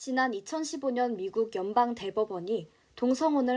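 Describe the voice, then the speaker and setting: A woman speaks at a fairly high pitch in a dark, mellow tone, her pitch swinging very widely. The background is quiet. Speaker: broadcaster / announcer. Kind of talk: card-news narration, informative.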